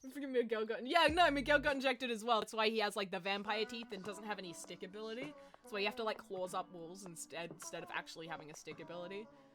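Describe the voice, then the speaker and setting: A woman talks very fast with hardly any pauses, her fairly high voice moving in a lively way and swinging widely in loudness over music in the background. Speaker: streamer. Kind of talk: casual live stream chat. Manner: animated.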